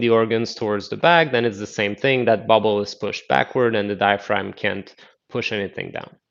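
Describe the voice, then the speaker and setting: A man with an unremarkable speaking voice, medium pitch and fairly even intonation against a quiet background. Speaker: qigong instructor. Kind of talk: live online class instruction.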